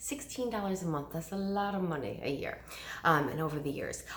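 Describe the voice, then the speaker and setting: Over audible room echo, a woman talks in an animated tone at a fairly quick pace. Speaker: direct sales consultant. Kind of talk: sales pitch. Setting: recorded video at home. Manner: fast.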